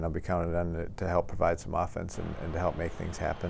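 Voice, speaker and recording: With an American accent, a man speaks at a very fast pace in a very deep, low pitch. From Minnesota, USA. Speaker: professional hockey forward. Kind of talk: interview answer.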